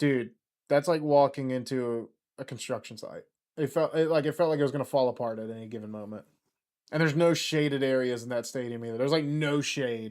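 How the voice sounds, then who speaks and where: With an American accent, a man speaks at a very fast pace in a medium pitch with ordinary pitch variation. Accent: southern US, slips out. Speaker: football YouTuber. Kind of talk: live watchalong commentary. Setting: livestream. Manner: casual, rambling with false starts.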